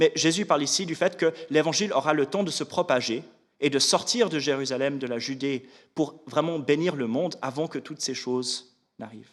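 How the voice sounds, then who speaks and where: With a fairly high pitch, a man talks using ordinary pitch variation. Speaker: Bible teacher. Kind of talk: Bible study lecture. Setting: church classroom. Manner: fast; halting, with repeated words.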